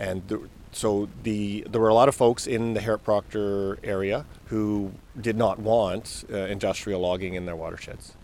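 In a Canadian accent, a man with an unremarkable speaking voice talks at a moderate pace, fairly low in pitch and fairly even in intonation. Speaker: forester. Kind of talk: interview.

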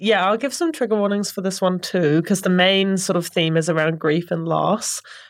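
A woman at medium pitch with a plain, everyday voice, ordinary pitch variation, a fairly quick pace, hardly any pauses, and a quiet background. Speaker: library staff reader. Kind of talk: casual chat about books. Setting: studio.

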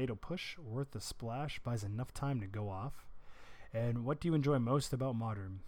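With an ordinary speaking voice, a man talks at a moderate pace in a medium pitch. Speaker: podcast host. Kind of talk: podcast news recap. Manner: informal, chatty.

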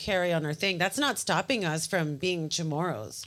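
In a plain, everyday voice with an American accent, a woman speaks at a moderate pace and fairly low pitch with ordinary pitch variation, on a very clean recording with a silent background. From US mainland. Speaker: podcast panelist. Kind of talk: casual chat.

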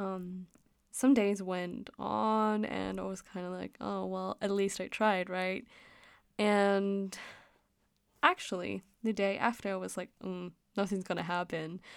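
A woman of medium pitch with a slight Danish accent, fairly slow and fairly even in intonation, with long, frequent pauses. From Denmark. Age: 20s. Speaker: podcast host. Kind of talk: casual monologue. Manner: frequent laughter and filler words.

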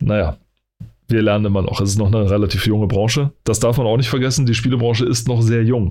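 A man's voice at medium pitch with a dark, mellow tone, very fast pace, very even loudness and fairly even intonation. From eastern Germany. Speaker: podcast host. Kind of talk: casual chat.

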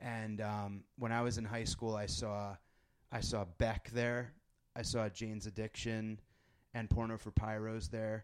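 A fairly low-pitched man with an American accent, fairly slow in pace and monotone, flat in intonation. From Connecticut, suburb of New Haven. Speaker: podcast host and comedian. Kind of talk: casual chat. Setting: in person in the East Village.

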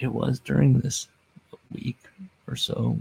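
A man speaks quietly. The sound is dry and close with no echo. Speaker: wrestling podcast host. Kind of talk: casual solo monologue. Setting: home recording late at night. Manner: halting.

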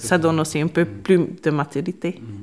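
This woman has a Hungarian accent and a fairly low pitch. Her pitch varies in an ordinary way. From Hungary. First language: Hungarian (speaking French). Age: 20s. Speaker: volunteer. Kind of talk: interview. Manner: halting.

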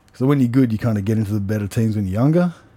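With an Australian accent, a man speaks at a medium pitch in a dark, mellow tone with ordinary pitch variation. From Australia, Canberra. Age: 30s. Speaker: martial artist and wrestling coach. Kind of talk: casual chat. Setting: sauna at a martial arts gym.

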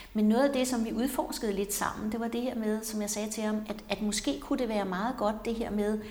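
Ordinary pitch variation at a moderate pace, with audible room echo. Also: woman. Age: 60s. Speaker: psychotherapist, podcast co-host. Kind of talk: casual conversation. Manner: halting, many fillers.

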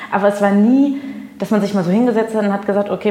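A woman speaks at a fairly quick pace in a medium pitch. Noticeable background noise runs under her voice. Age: 20s. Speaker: radio host. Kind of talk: casual interview chat.

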